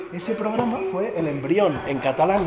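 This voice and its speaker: A man with a high voice speaks at a fairly quick pace in an animated tone. Loud background noise runs behind him. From Catalonia, Spain. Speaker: youtuber and former radio host; youtuber, former radio host. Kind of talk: casual vlog. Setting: radio museum, Ponferrada. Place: hall. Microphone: phone near.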